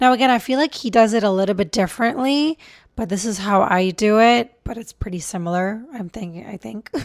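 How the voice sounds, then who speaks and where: A woman talks at a fairly quick pace in a normal speaking voice, fairly high in pitch, with big swings in loudness. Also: ordinary pitch variation. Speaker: relationship coach and video creator. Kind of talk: casual vlog talk to camera. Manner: conversational with fillers.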